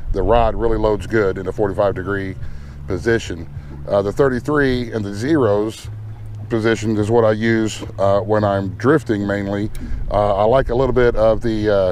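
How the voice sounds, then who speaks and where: Over music in the background, a man with a fairly low pitch speaks in a dry sound with no echo. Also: ordinary pitch variation, moderate pace. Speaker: channel host. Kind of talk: tutorial. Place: boat. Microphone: phone near.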